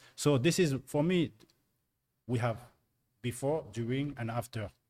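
On a very clean recording with a silent background, a man uses an ordinary speaking voice at medium pitch and moderate pace. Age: 40s. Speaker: dunker, mobility coach. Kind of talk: round-table discussion.

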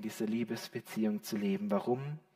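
The voice has a warm, animated tone, moving at a moderate pace with very wide pitch swings. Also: man. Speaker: preacher. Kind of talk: sermon. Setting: church with a live congregation. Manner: warm, animated and direct, addressing the congregation as 'you' with rhetorical questions.

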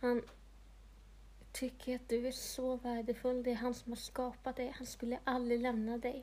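Speaking at a moderate pace, a woman has a high pitch and a dark, mellow tone. Her intonation stays monotone and flat. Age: 30s. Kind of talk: personal testimony monologue.

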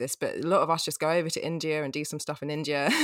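Speaking at a fairly quick pace in an English accent, a woman has a very deep, low pitch on a very clean recording with a silent background. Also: dry, close sound with no echo. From England. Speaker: podcast co-host. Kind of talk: casual interview chat.

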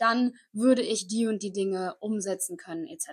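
Her pitch moves with ordinary variation. The woman's voice sits fairly high. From Koblenz, western Germany. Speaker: podcast host, online entrepreneur and mindset coach. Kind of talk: motivational monologue. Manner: energetic.

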